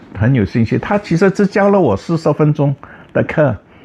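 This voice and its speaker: A man speaks with very wide pitch swings. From Indonesia. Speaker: physicist, professor. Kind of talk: interview answer. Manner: plainspoken, humorous.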